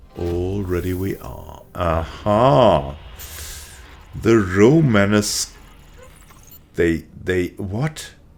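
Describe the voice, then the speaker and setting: A man with a very deep, low voice speaks at a very slow pace with long, frequent pauses and lively intonation over noticeable background noise. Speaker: gaming video creator. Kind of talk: let's play commentary. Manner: casual, relaxed.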